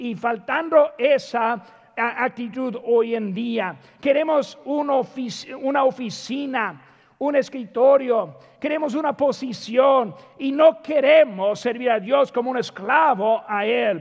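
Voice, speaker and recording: Speaking at a fairly slow pace, a man uses an extremely high pitch with ordinary pitch variation. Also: quiet background. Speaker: preacher. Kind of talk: sermon. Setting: church. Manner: earnest, exhortative, addressing congregation as brothers. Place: church.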